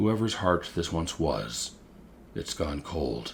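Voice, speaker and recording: Against clear background noise, a man puts on a gruff character voice, very deep and low in pitch, speaking at a very slow pace. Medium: read story. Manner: slow, measured, brooding.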